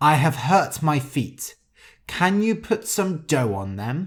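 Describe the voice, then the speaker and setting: In a put-on character voice, a man's speech comes out fairly high-pitched and fairly slow. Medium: read story. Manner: sly, wheedling.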